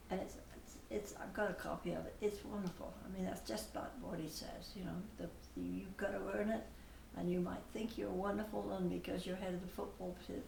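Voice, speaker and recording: A woman's fairly quick speech with audible room echo and noticeable background noise. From England, Bath, Somerset. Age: 80s+. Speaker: parishioner. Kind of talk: interview.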